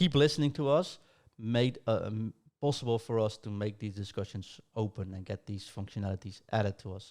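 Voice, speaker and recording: A man's fairly low voice at a fairly quick pace, with ordinary pitch variation and big swings in loudness, on a very clean recording with a silent background. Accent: Dutch. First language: Dutch. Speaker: podcast host. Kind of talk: casual podcast chat.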